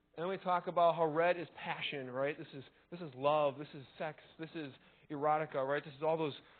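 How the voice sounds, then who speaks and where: A man with a fairly high voice speaks at a fairly quick pace, his intonation fairly even but his loudness swinging a lot. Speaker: college teacher giving a conference talk. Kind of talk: conference talk. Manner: fast.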